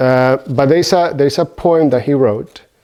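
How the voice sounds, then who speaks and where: Dark, mellow male voice with a Spanish accent, at a moderate pace. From Venezuela. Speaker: Buddhist teacher. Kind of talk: dharma talk. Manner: halting.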